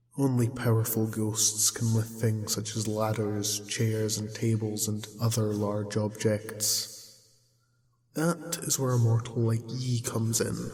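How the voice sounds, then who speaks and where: A man's gruff put-on character voice at medium pitch, fairly slow, with a clear echo. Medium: audio drama. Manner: gruff, scornful, archaic pirate speech.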